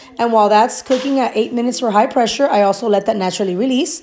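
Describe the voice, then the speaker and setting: Her voice is pitched high. There is noticeable noise in the background as this woman talks. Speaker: home cooking video creator. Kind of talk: cooking tutorial voiceover. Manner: casual.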